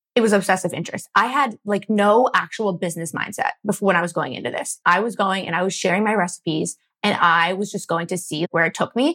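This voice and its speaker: Speaking at a fairly quick pace with hardly any pauses, a woman with an American accent has a bright, sharp tone, medium pitch and ordinary pitch variation, in a dry, close sound with no echo. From Philadelphia suburbs, US. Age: 20s. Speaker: food blogger and entrepreneur. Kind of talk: casual interview.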